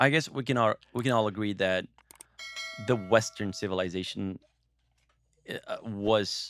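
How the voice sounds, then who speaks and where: In a Portuguese accent, a man speaks at a fairly low pitch with fairly even intonation. His pace is fairly slow, and the sound is dry and close with no echo. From Brazil. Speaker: podcast co-host. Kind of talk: casual discussion. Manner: halting.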